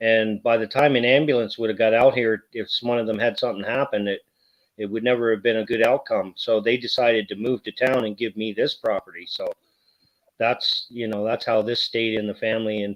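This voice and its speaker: A man's medium-pitched voice at a fairly quick pace, monotone with flat intonation. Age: 40s. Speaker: YouTuber. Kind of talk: casual chat.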